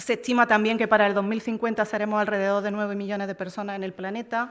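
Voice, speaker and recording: At a very fast pace, a woman talks at a fairly high pitch in monotone, flat intonation. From Córdoba, Andalusia, Spain. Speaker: EU official, panel speaker. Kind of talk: conference talk. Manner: halting, frequent fillers.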